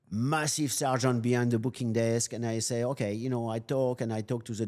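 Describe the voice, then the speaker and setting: A man with a strong French accent speaks at a moderate pace in a dark, mellow tone. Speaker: loss prevention specialist. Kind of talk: interview storytelling. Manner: halting, with many fillers; animated.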